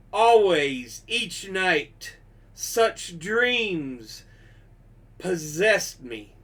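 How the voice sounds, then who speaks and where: Putting on a character voice, a man speaks at a very slow pace in a high pitch with very wide pitch swings. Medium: read story.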